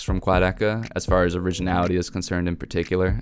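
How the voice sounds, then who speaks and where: Music plays behind a man with a very deep, low voice. He talks very fast in an animated tone. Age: 20s. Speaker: music reviewer. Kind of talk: album review. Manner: casual, animated.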